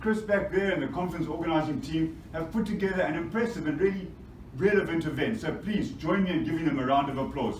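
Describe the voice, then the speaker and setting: A man with a Zimbabwean accent, fairly high-pitched and energetic, at a fairly quick pace with ordinary pitch variation, plus noticeable background noise and audible room echo. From Zimbabwe, Bulawayo. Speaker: mining energy specialist. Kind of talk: conference presentation. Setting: stage with audience.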